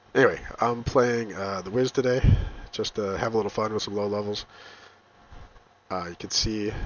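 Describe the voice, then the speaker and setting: Amid noticeable background noise, a man with a fairly low pitch and fairly even intonation talks at a moderate pace, leaving long, frequent pauses. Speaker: gamer. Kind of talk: gameplay commentary. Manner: casual, hesitant with many fillers.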